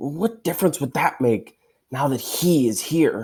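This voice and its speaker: Putting on a raspy character voice, a man speaks at a moderate pace with a fairly high pitch. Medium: read story.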